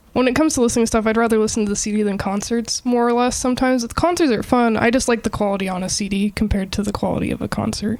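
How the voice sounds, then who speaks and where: A woman with a fairly high pitch talks at a very fast pace with hardly any pauses and ordinary pitch variation. Noticeable background noise is present. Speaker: podcast co-host. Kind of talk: casual chat. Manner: soft-spoken.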